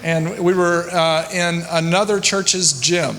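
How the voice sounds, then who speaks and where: A man's high voice with a Southern US accent, noticeable background noise and audible room echo. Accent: American Southern. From US South, rural Louisiana. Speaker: church consultant, former attorney and pastor. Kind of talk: conference talk.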